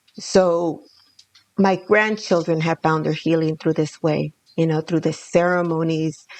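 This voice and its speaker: A woman with a Spanish accent speaks slowly enough, at a fairly low pitch, in a monotone, flat intonation. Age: 60s. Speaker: danza elder and grandmother. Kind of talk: casual conversation, podcast interview.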